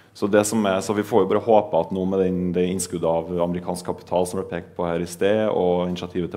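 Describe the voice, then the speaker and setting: A man's very deep, low voice, dark and mellow in tone, with monotone, flat intonation and a fairly quick pace. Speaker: politician. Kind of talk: panel discussion. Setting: stage with audience. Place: hall.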